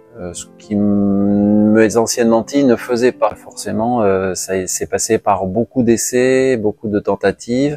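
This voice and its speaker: With music in the background, a man talks at a very slow pace and fairly low pitch, his intonation fairly even, hardly pausing, in a dry, close sound with no echo. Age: 60s. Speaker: patient giving testimony. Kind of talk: testimony. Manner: halting, many hesitations.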